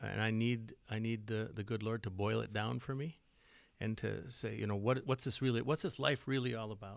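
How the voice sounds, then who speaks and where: This man has an Upper Midwest accent. His pitch sits in the medium range. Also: very clean recording, silent background. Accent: Upper Midwest American. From West Central Minnesota. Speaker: church music leader and songwriter. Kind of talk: casual interview.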